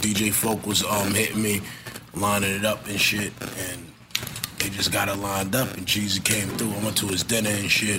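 Noticeable background noise surrounds a man speaking in a New York accent at a fairly low pitch. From Brooklyn, New York. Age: 30s. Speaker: rapper. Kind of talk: casual chat. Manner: animated.

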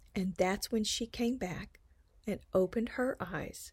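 A woman's medium-pitched, somewhat breathy voice at a very slow pace, on a very clean recording with a silent background. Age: 60s. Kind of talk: personal storytelling.

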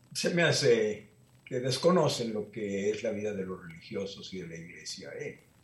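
A man with a fairly low pitch talks at a moderate pace, somewhat breathy, with lively intonation and big swings in loudness. Audible room echo surrounds his voice. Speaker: Jesuit priest. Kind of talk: interview.

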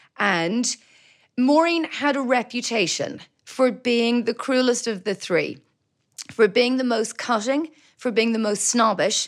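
This woman's voice sits at a high pitch, with ordinary pitch variation. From Belgium (Brussels), Irish family. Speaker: novelist and journalist. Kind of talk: interview.

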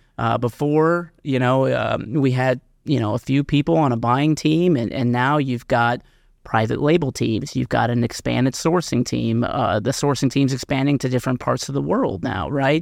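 A man with an American accent talks in an unremarkable speaking voice at medium pitch and a moderate pace, with ordinary pitch variation. His loudness stays very even against a quiet background. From Missouri. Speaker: retail consultant. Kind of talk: interview. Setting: studio.

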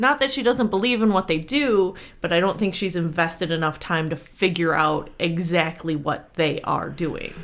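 This woman's intonation is lively. Her pace is moderate. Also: fairly low pitch for a woman, hardly any pauses. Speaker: tabletop role-playing player. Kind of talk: casual interview. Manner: halting, many fillers.

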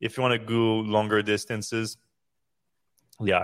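Recorded very cleanly against a silent background, a man talks at a moderate pace. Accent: French. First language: French. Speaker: podcast host. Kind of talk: casual chat. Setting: live stream.

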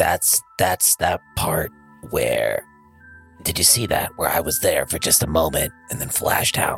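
With clear music in the background, a man does a put-on character voice at a moderate pace. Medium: actual play.

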